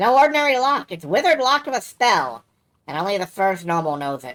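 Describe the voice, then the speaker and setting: In a put-on character voice of middle pitch, the speaker rushes at a very fast pace with very wide pitch swings. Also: female-sounding voice. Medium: game stream. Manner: sly, chatty, folksy.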